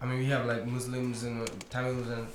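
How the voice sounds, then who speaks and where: Noticeable background noise fills the clip. The talking goes at a moderate pace. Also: man. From Sri Lanka. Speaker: film student. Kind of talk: audience question. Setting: stage with audience.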